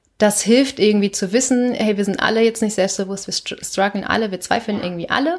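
A normal speaking voice moves at a moderate pace with ordinary pitch variation, recorded very cleanly against a silent background. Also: woman. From northern Germany, Lüneburger Heide. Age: 20s. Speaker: company founder. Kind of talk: interview.

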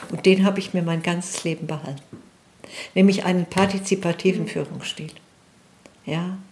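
A woman's fairly low, monotone, flat voice at a moderate pace, broken by long, frequent pauses over noticeable background noise. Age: 60s. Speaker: nurse and lecturer. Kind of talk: personal testimony interview.

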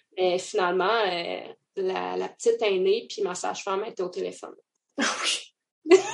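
A woman with a Quebec accent speaks at a fairly slow pace, her loudness swinging widely. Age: 30s. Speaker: mother sharing her birth story. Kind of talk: testimony.

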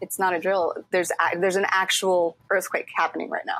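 An unremarkable speaking voice with an American accent, moving at a fairly quick pace. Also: woman. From Mexico City and US. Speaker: actor and voice actor. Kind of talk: casual chat.

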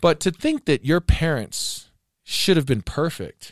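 A man with an American accent speaks with lively intonation, his voice dry and close with no echo on a very clean recording against a silent background. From US South. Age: 40s. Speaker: podcast host. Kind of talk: casual chat.

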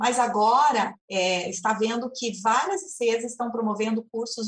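Pitch moves in an ordinary way. The delivery is very slow. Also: woman. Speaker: moderator. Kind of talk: moderating an online debate. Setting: video call.

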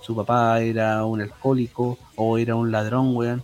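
A man with a Chilean accent is heard over noticeable background noise. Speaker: podcast co-host, musician. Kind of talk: casual chat.

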